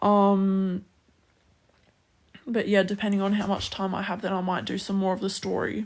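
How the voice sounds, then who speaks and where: At a moderate pace, a woman with an Australian accent speaks at a medium pitch. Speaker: streamer. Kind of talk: casual chat.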